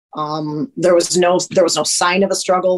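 A woman is speaking. Her pitch is medium. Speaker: friend of the missing woman, interviewee. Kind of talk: recorded interview, recalling events.

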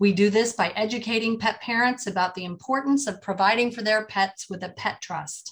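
A woman with a fairly high, somewhat breathy voice and ordinary pitch variation is heard on a very clean recording with a silent background. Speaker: podcast host and estate planning attorney. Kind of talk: interview.

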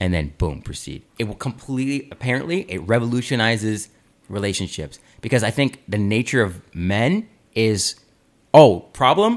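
A plain, everyday voice from a man, medium in pitch, moderate in pace, with lively intonation. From Canada (Aurora, Ontario). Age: 20s. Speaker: podcast host. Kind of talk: casual chat.

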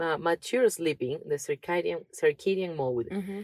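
Lively intonation in a dark, mellow tone, at a moderate pace, with a dry, close sound and no echo. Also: woman. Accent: Spanish. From Venezuela. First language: Spanish. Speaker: podcast co-host. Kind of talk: reading aloud.

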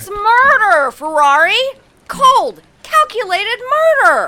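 A woman shouts in a put-on character voice at an extremely high pitch. Her pace is fairly slow. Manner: shouting.

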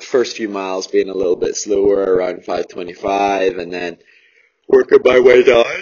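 A raspy put-on character voice at a moderate pace with big swings in loudness. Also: man, fairly low pitch for a man. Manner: casual, recounting a run.

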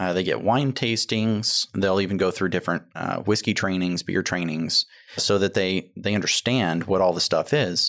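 A Texan accent at a moderate pace with hardly any pauses and ordinary pitch variation, on a very clean recording with a silent background. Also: man, fairly low pitch for a man. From Texas, Tomball area. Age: 30s. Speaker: restaurant owner. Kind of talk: casual chat. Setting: studio.

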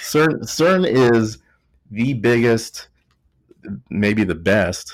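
This man talks with a Texas accent. His pitch varies in an ordinary way. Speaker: podcast host. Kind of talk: casual chat.

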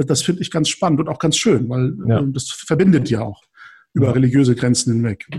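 A man's somewhat breathy voice, dark and mellow in tone, at a fairly quick pace. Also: medium pitch for a man, ordinary pitch variation. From northern Germany (Lübeck), Turkish family. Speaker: podcaster. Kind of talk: casual chat.

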